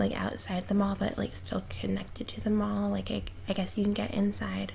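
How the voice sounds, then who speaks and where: At a moderate pace, the voice comes through with noticeable background noise behind it. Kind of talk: casual gameplay commentary. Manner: spoken aloud, not whispered.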